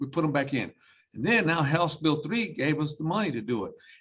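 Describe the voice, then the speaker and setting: A man has a normal speaking voice with a fairly high pitch. He talks at a fairly quick pace with lively intonation. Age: 60s. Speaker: school superintendent. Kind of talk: panel discussion.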